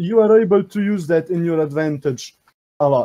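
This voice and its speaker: A man with a non-native accent speaks at a moderate pace in a high-pitched voice with a dark, mellow tone. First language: not English. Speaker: contest judge. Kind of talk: live commentary.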